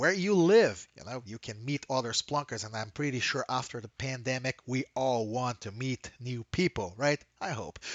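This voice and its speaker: An enthusiastic man with a Brazilian Portuguese accent at medium pitch, lively intonation, big swings in loudness and a moderate pace. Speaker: software company trainer. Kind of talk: presentation. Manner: frequent fillers, uh and um.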